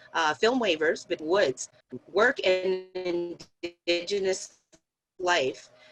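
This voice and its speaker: Over music in the background, a woman with a fairly low pitch talks at a fairly slow pace. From Canada. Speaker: moderator. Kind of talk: interview. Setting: video call.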